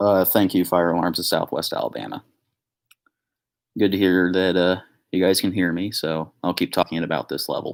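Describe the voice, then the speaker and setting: A soft-spoken man with a very deep, low pitch talks at a moderate pace with fairly even intonation and long, frequent pauses. The recording is very clean, with a silent background. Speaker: fire alarm collector youtuber. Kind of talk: live stream Q&A.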